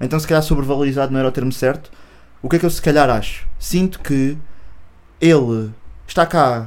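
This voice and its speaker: A man with a European Portuguese accent, fairly high-pitched for a man, at a fairly quick pace with ordinary pitch variation and long, frequent pauses. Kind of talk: casual chat.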